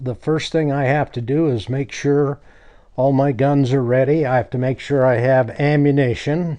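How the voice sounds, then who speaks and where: At a fairly slow pace, a man with a Western US accent speaks in a dark, mellow tone at a medium pitch with monotone, flat intonation. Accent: American Western. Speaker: cowboy action shooter. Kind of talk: documentary interview answer.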